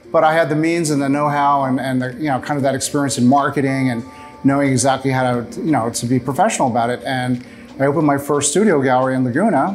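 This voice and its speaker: Over music in the background, a man talks at a very fast pace in a fairly high pitch. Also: ordinary pitch variation. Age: 60s. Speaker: painter. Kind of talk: casual interview. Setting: art gallery studio.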